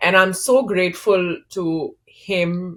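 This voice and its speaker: A woman speaks in a somewhat breathy voice. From India, Kolkata. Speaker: startup founder. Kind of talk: interview. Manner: animated.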